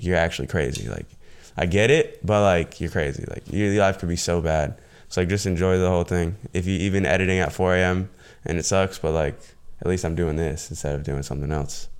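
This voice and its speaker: A man with a very deep, low voice talks at a fairly quick pace with ordinary pitch variation. The recording is very clean, with a silent background. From US South, southwest Florida. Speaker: YouTuber and e-commerce entrepreneur. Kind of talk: casual interview chat.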